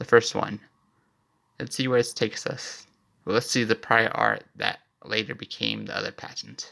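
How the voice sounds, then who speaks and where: A man speaks quietly at a moderate pace. He leaves long, frequent pauses. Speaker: amateur inventor vlogger. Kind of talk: casual commentary walkthrough. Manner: talking quietly.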